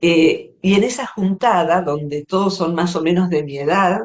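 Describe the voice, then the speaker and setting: A woman speaks with an Argentine accent at a fairly slow pace. Her pitch is fairly low and her intonation fairly even. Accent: Rioplatense Argentine Spanish. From Argentina, Buenos Aires area. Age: 60s. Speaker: psychologist and poet. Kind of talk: interview conversation.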